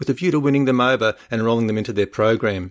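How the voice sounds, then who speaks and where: On a very clean recording with a silent background, a man with an Australian accent talks at a very fast pace. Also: dry, close sound with no echo. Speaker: podcast host. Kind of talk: solo podcast monologue.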